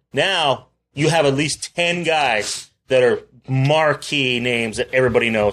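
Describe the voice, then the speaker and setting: A plain, everyday voice speaks at a fairly slow pace. Its pitch variation is ordinary. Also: man, fairly high pitch for a man. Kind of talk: ring announcer parody.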